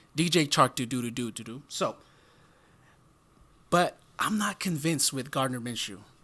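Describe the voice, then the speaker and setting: A man with a fairly high pitch and a bright, sharp tone speaks at a moderate pace with lively intonation and big swings in loudness. He takes long, frequent pauses in a very clean recording with a silent background. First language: not English. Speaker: football podcast co-host. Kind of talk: casual sports discussion.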